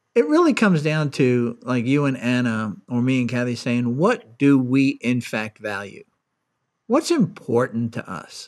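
In a very clean recording with a silent background, a man uses an ordinary speaking voice at medium pitch, talking at a fairly slow pace with ordinary pitch variation. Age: 60s. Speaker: podcast host and angel investor. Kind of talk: interview.

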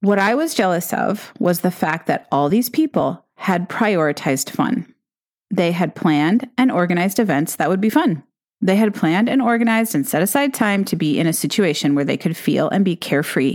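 An animated tone with very wide pitch swings and very even loudness comes through in a very clean recording with a silent background. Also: woman, medium pitch for a woman, moderate pace. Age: 50s. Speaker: business coach podcast host. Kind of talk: solo podcast monologue. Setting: coffee shop.

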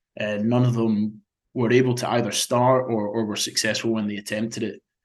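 A man at medium pitch and moderate pace, in a monotone, flat intonation. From Scotland. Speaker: marathon swimmer. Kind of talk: casual interview chat. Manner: hesitant, repeats words.

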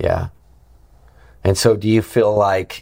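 A man with an American accent speaks at a fairly low pitch. His voice is somewhat breathy. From Montana, then Virginia from age 12. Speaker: podcast host, evangelist. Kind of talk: interview conversation. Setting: Capitol Hill venue. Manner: animated.

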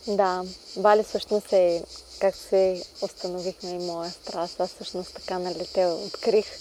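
Very slow delivery in a dark, mellow tone with monotone, flat intonation. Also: woman, medium pitch for a woman. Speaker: podcast host. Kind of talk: casual interview chat. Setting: outdoors in a garden.

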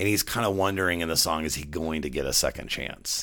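A man talks at a very fast pace with a very deep, low pitch and vocal fry. His tone is bright and sharp, with ordinary pitch variation. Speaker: podcast host. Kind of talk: solo monologue podcast. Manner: casual, conversational.

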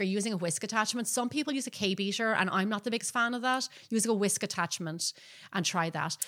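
A fairly high-pitched woman's voice with an Irish accent, bright and sharp, very fast, with ordinary pitch variation on a very clean recording with a silent background. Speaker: baking show host and professional baker. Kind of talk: live-streamed podcast chat. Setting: live video stream.

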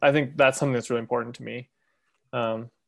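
An American-accented man speaks in a flat monotone at a medium pitch against a quiet background. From Montana. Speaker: bird artist and illustrator. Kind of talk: casual group chat. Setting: video call.

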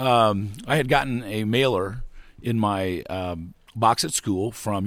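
A man with an ordinary speaking voice, fairly low pitch and ordinary pitch variation. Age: 60s. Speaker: founder of student field trip program. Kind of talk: interview. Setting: outdoors at a park.

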